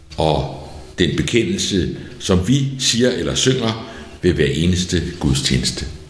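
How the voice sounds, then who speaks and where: Amid noticeable background noise and audible room echo, a man speaks very slowly at a fairly low pitch, his voice swinging very widely in pitch. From Denmark, outside Copenhagen. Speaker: pastor. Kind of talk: sermon.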